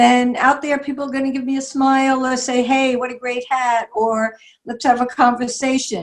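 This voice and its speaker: A woman speaks at a high pitch and a moderate pace. Her intonation is monotone and flat. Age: 70s. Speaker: style icon and artist. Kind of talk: interview at online symposium.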